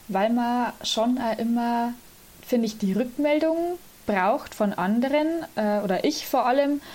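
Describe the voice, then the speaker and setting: Speaking fairly slowly with long, frequent pauses, a woman uses a high pitch and ordinary pitch variation. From Lower Bavaria, Germany. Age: 20s. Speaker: student and church volunteer, organist. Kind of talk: interview.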